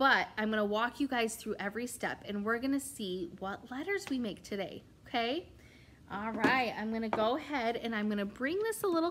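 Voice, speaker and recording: A woman with a fairly high pitch speaks at a moderate pace with lively intonation, noticeable background noise behind her. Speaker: preschool or kindergarten teacher. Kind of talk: tutorial. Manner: animated.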